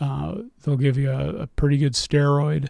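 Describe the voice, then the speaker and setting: A man's fairly high-pitched voice with a dark, mellow tone, at a moderate pace. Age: young. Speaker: cancer patient. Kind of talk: interview.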